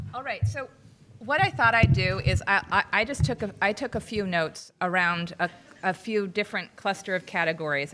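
A woman's bright, sharp tone at a fairly low pitch and moderate pace, over light background noise. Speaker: panel moderator. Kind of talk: panel discussion summary. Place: hall. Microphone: podium.

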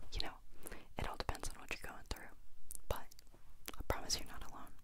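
Loud background noise surrounds a woman in a dry recording with no echo. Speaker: vlogger. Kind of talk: casual vlog chat. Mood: warm, reassuring. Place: home room. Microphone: handheld.

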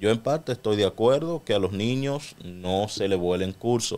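Talking at a moderate pace, a man has an unremarkable speaking voice, a fairly low pitch and ordinary pitch variation. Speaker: radio co-host. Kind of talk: radio talk show discussion. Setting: radio studio.

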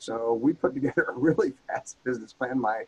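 A man with an American accent, a normal speaking voice and ordinary pitch variation. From rural US. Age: 60s. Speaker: former marine and martial arts instructor. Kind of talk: casual interview. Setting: in person, same room.

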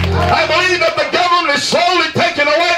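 A man talks while clear music sounds in the background. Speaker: preacher. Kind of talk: revival sermon. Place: tent.

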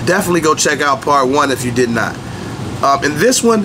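There is clear background noise as a man talks at a fairly quick pace. His pitch is fairly high.

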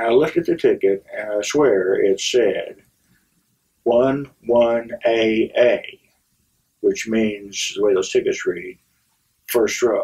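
A man's very slow speech with long, frequent pauses, against a quiet background. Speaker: storyteller. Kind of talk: casual storytelling, personal anecdote. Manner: relaxed, reminiscing, chatty; wry, humorous, fond. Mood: animated, amused storytelling. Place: office.

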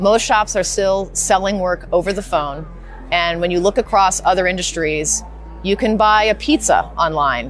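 The pace is moderate, and the sound is dry with no echo. Faint music plays in the background. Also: woman. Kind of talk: interview answer. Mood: confident, promotional. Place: hall. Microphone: lapel.

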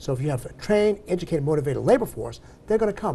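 With an American accent, a man speaks in a dark, mellow tone with vocal fry and lively intonation. Light background noise is present. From Massachusetts. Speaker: civil rights organization chapter president; interview guest. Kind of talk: TV interview. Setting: TV studio. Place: studio. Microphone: lapel.

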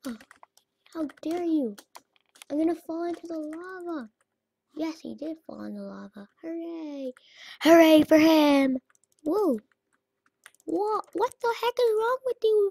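The voice is loud and fairly slow. Long pauses come often. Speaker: gaming YouTuber. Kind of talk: let's play commentary. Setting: home recording with webcam. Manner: animated.

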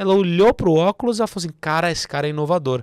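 Speaking at a very fast pace, a man uses lively intonation. The sound is dry with no echo over a quiet background. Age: 30s. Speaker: accounting firm partner and entrepreneur; podcast guest. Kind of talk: podcast interview. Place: studio. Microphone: studio mic.

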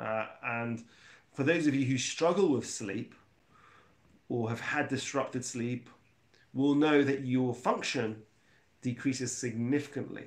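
The pace is fairly slow. The voice belongs to a man. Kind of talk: lecture. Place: home room. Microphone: lapel.

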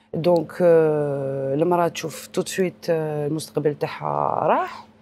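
In an Algerian accent, a dark, mellow tone comes at a fairly slow pace over light background noise, the sound dry with no echo. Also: woman. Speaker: breast surgeon; guest. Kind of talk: TV health interview. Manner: code-switching Arabic and French, halting. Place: studio. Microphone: lapel.

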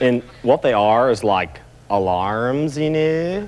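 Putting on a character voice, a man drawls at a very slow pace in a medium pitch with very wide pitch swings over clear background noise. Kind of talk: comic character sketch. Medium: comedy sketch. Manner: spacey, drawling, filler-heavy, earnest.

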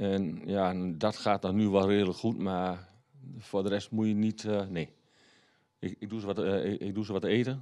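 Against a quiet background, a man with a fairly low pitch and a dark, mellow tone speaks at a moderate pace with fairly even intonation. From Haaksbergen, Twente, eastern Netherlands; Netherlands. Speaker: local politician. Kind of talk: interview. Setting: studio. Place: studio. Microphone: handheld.

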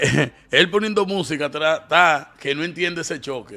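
Bright and sharp in tone, a man's high voice moves at a fairly slow pace with ordinary pitch variation. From Dominican Republic. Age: 40s. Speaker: online show host. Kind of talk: casual commentary. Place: studio. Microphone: studio mic.

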